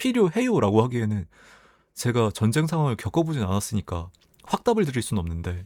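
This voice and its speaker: A soft-spoken man with a dark, mellow tone at a medium pitch, very wide pitch swings and a fairly quick pace, on a very clean recording with a silent background. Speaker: YouTuber reading community posts. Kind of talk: reading aloud posts with casual commentary. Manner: soft, gentle sleep-aid delivery.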